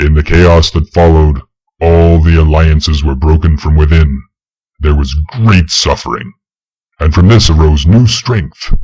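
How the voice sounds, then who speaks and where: This man has a very deep, low pitch. He talks at a moderate pace with very even loudness. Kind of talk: solemn legend narration. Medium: read story. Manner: measured, grave.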